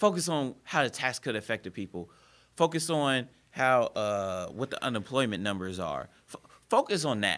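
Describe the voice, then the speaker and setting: On a very clean recording with a silent background, a man speaks in an animated tone at a moderate pace, his medium pitch moving in very wide swings. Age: 20s. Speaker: public speaker and activist. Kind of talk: casual chat.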